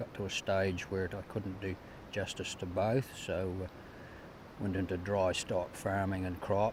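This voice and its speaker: Speaking in a New Zealand accent, a man keeps a fairly low pitch and a monotone, flat intonation at a fairly slow pace. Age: 70s. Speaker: retired farmer. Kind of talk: interview.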